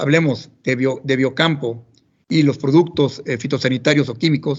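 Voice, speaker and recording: A somewhat breathy, fairly high male voice with fairly even intonation at a moderate pace. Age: 50s. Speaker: agronomist, corporate technical manager. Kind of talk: professional talk. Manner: halting.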